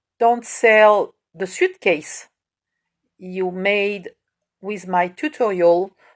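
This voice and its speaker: A woman speaks very slowly with a French accent. The recording is very clean, with a silent background. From France. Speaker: crafts tutorial maker. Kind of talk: tutorial. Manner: halting, hesitant.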